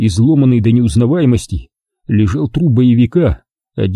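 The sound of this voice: A quiet background behind an unforced reading voice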